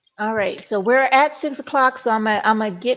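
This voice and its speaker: A woman with a Mississippi accent talks at a fairly quick pace in a fairly high pitch with ordinary pitch variation. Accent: Southern US (Mississippi). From US South, Mississippi. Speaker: panel moderator. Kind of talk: panel moderation.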